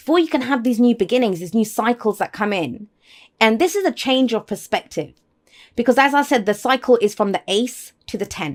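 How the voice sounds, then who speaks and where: In a very clean recording with a silent background, a woman speaks at a fairly quick pace, her fairly high pitch rising and falling with lively intonation. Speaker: tarot reader. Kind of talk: tarot reading. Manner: fast; faster than usual.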